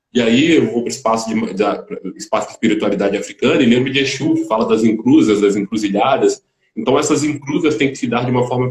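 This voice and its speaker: Very fast talk from a man at medium pitch, with ordinary pitch variation. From Volta Redonda, Rio de Janeiro state, Brazil. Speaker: musician. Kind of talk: interview.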